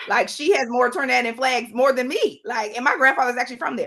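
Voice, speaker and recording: This voice has a Southern US accent. Its tone is animated, bright and sharp. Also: woman. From US South. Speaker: travel company founder. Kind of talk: podcast interview.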